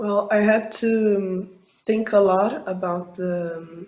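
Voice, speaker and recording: A woman at a very slow pace with a Portuguese accent. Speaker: film director. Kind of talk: interview. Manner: halting, many fillers.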